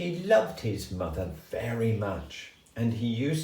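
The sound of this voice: Delivered in an unforced reading voice, the text carries lively intonation.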